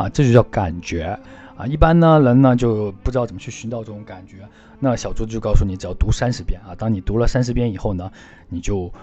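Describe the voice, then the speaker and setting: Loudness swings widely as a man speaks at a fairly quick pace, medium in pitch with ordinary pitch variation. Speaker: podcast host, French language tutor. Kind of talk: casual monologue, language tips. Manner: hesitant, many filler particles.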